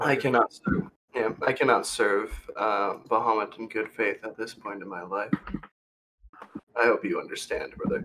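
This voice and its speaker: Using a put-on character voice, a man sounds raspy at a medium pitch, talking at a moderate pace with long, frequent pauses. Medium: actual play. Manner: earnest, solemn.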